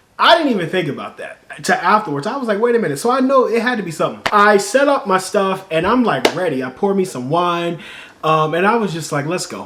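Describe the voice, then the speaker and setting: A high-pitched man at a very fast pace with lively intonation, over noticeable background noise. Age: 30s. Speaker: YouTuber and singer-songwriter. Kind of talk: casual vlog storytelling. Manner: conversational, many fillers.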